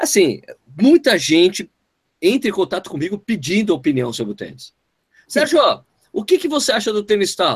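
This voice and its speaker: With a high pitch and an animated tone, a man swings his pitch very widely at a moderate pace, leaving long, frequent pauses, in a dry, close sound with no echo. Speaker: running podcast host. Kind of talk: casual chat.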